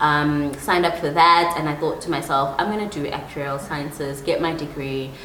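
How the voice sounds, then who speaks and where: Amid noticeable background noise and audible room echo, a woman with a very deep, low pitch speaks with hardly any pauses. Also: moderate pace. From South Africa, KwaZulu-Natal. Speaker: life coach. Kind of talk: solo podcast monologue. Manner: animated.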